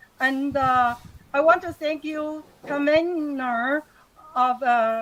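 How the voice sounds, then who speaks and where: In a Taiwanese accent, a woman with a high pitch uses a raised, projected voice at a very slow pace. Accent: Taiwanese Mandarin-accented English. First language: Mandarin Chinese. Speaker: retired university lecturer. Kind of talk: webinar lecture. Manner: halting.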